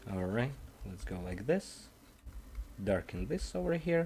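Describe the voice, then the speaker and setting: Speaking with a non-native accent, a man sounds dark, mellow and somewhat breathy, moving at a fairly slow pace with very wide pitch swings. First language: not English. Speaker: digital artist streamer. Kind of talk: casual live-stream commentary while painting. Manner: halting, thinking aloud.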